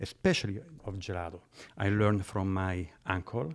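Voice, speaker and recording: A man with a fairly low pitch talks at a moderate pace in a very clean recording with a silent background. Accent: Italian. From central Italy. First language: Italian. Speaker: gelato maker and business owner. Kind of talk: casual interview. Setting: studio.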